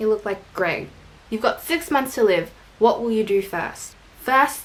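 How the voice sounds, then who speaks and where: Moderate pace, in an Australian accent. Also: woman. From Australia, Filipino family. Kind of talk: casual vlog, answering tag questions.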